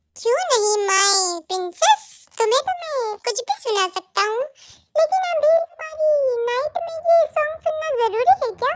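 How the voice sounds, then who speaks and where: A woman performs a put-on character voice in an extremely high, squeaky pitch, with very wide pitch swings. She talks at a fairly slow pace, and the sound is dry and close with no echo. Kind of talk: emotional fan-fiction drama. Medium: audio drama.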